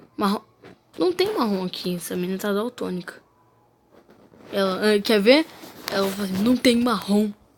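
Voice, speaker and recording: In a Brazilian accent, a woman speaks at a medium pitch and a moderate pace. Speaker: gaming youtuber. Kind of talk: gameplay commentary. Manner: animated.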